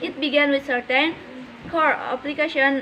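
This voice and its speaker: A woman speaks at a high pitch with fairly even intonation. There is noticeable background noise. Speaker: university student. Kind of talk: reading aloud. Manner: halting.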